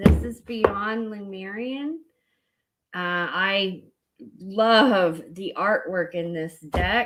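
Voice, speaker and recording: In a Southern US accent, a woman speaks at a very slow pace with lively intonation. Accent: Southern US twang. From US South. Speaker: spiritual card reader. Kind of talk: live-stream oracle card reading. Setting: live stream on social media. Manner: casual, with many fillers.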